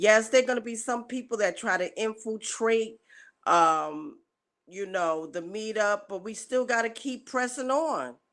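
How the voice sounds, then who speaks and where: A woman's medium-pitched voice at a fairly slow pace with ordinary pitch variation, on a very clean recording with a silent background. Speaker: live streamer organizing community meetup. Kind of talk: casual live stream talk. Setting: live stream. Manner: loud; hesitant, with fillers.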